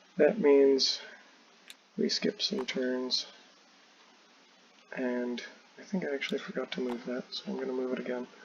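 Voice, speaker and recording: At a moderate pace, a man of medium pitch talks with lively intonation and long, frequent pauses over noticeable background noise. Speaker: board game designer. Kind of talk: tutorial playthrough. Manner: casual, halting with fillers.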